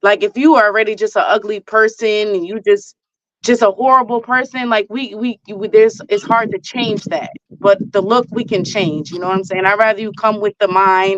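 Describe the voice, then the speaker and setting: A woman with a plain, everyday voice and a fairly high pitch speaks at a moderate pace with ordinary pitch variation, in a dry, close sound with no echo. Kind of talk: casual chat.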